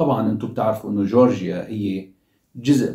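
A man speaks with a dark, mellow, somewhat breathy tone. The room echo is audible against a quiet background. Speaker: commentator. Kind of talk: commentary. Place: home room.

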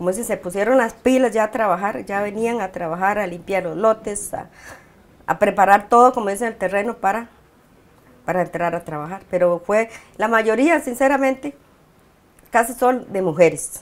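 Moderate-paced speech from a woman, medium in pitch, with ordinary pitch variation. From Costa Rica. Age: 50s. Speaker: community leader. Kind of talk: interview. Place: home room. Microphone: lapel.

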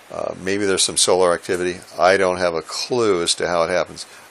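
Low in pitch, a man speaks at a moderate pace with little pitch movement. His tone is fairly bright.

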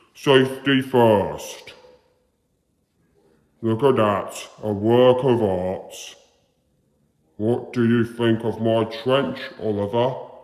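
Using a put-on character voice at a medium pitch, a man talks at a very slow pace with long, frequent pauses and a slight echo. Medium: dub. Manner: proud, boastful.

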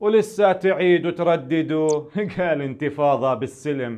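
A man's high voice at a fairly slow pace. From Palestine. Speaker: poet. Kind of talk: spoken-word poetry performance. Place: studio. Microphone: lapel.

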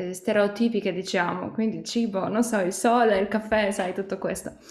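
A woman speaks in a Polish accent. Audible room echo surrounds her voice. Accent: Polish accent in Italian. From Poland. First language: Polish (speaking Italian). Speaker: singer-songwriter; interviewee. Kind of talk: interview. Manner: halting, many fillers. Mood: warm, relaxed. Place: home room. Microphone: webcam.

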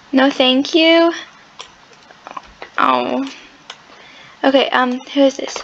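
Speech comes at a very slow pace with long, frequent pauses, and noticeable background noise runs underneath. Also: woman. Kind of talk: casual gameplay commentary. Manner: chatty, hesitant.

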